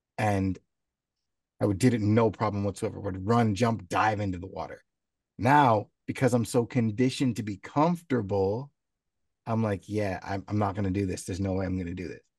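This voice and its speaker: A man's fairly low-pitched, ordinary speaking voice, with ordinary pitch variation, at a moderate pace. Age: 30s. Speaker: podcast co-host, sales manager. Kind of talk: casual chat.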